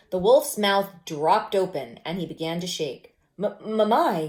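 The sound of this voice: The voice reads aloud without forcing. Its pitch moves in an ordinary way.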